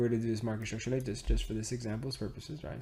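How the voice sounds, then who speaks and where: A man of medium pitch sounds animated and somewhat breathy. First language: Spanish. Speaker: trading educator. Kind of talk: tutorial. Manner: casual, animated.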